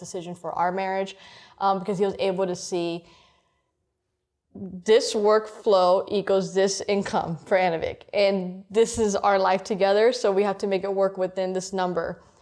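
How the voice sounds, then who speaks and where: With a Miami accent, a woman talks at a moderate pace in a medium-pitched, monotone voice with flat intonation. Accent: Cuban-American Miami. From Miami, Florida (Cuban-American). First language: Spanish. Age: 20s. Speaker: interviewee sharing life story. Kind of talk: interview. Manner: casual, filler-heavy.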